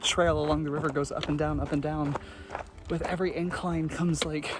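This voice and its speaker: The voice moves at a moderate pace. Noticeable background noise runs underneath it. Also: man. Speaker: hiking vlogger. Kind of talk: outdoor vlog narration. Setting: outdoors on a trail. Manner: quiet, softer than usual.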